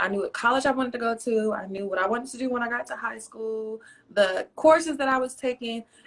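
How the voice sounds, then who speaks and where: A woman talks very fast at a fairly high pitch with ordinary pitch variation. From North Carolina, US South (moved from Roanoke, Virginia at 14). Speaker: poet and author. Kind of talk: interview.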